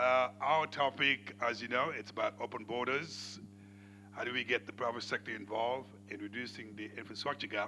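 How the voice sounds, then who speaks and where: A man's fairly low voice at a moderate pace, fairly even in intonation, with music in the background. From Senegal. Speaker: panel moderator. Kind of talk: moderating a conference panel.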